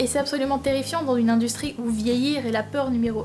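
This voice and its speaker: A woman speaks at a very fast pace with a high pitch over noticeable background noise. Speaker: YouTuber, drama student. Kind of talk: vlog commentary. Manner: animated.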